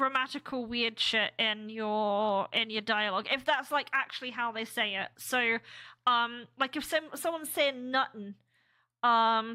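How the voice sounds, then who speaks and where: In an American accent, a woman with a bright, sharp tone talks at a fairly slow pace, her fairly high voice showing ordinary pitch variation on a very clean recording with a silent background. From UK. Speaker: game developer streamer. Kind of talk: casual live stream chat. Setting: live stream. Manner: halting, many fillers.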